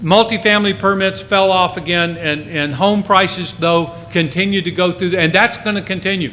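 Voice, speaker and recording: A high-pitched man at a moderate pace with hardly any pauses, fairly even intonation, audible room echo and noticeable background noise. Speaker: real estate economist. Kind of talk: conference presentation. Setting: stage with audience.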